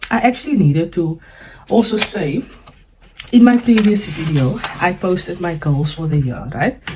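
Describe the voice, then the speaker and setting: The speech moves at a moderate pace with lively intonation. Noticeable background noise runs underneath. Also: woman. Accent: South African. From South Africa. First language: Afrikaans. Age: 20s. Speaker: personal finance vlogger. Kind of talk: budgeting tutorial. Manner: casual, hesitant with fillers.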